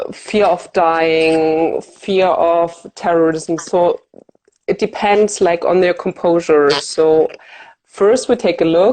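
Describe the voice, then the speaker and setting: With a German accent, a woman speaks at a very slow pace in a fairly low, dark, mellow voice. Her intonation is fairly even and her loudness very even. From Germany. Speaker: fear of flying coach. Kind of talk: interview.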